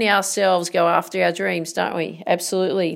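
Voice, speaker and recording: A woman talks in an energetic tone with an Australian accent. The recording is very clean, with a silent background. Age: 40s. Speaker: motivational podcaster. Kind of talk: motivational monologue.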